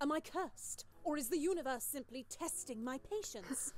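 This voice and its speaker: In a put-on character voice, a woman speaks at a moderate pace with a high-pitched, whiny tone and lively intonation over clear background noise. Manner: dramatic, whining.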